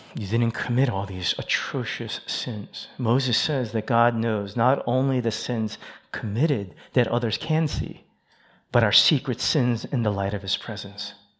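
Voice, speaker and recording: Here a man talks in a normal speaking voice at a medium pitch. His pace is fairly slow and his pitch variation ordinary. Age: 50s. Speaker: associate pastor. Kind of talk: sermon. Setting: church.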